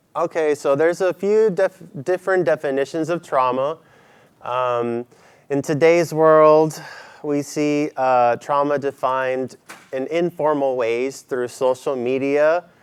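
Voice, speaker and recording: Pitch varies in an ordinary way while the words come fairly slowly. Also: man, fairly high pitch for a man, dry, close sound with no echo. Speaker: mental health counselor. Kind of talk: lecture. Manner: hesitant, many fillers; soft-spoken.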